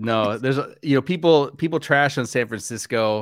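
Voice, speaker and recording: A man with an American accent has a normal speaking voice. The recording is very clean with a silent background, and the sound is dry and close with no echo. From US Midwest, Wisconsin. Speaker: pastor. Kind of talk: casual interview chat.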